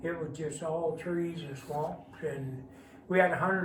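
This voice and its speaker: Over noticeable background noise and audible room echo, a man with an American accent speaks at a high pitch with fairly even intonation. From Missouri Bootheel. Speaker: retired farmer, church member. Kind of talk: interview, personal testimony.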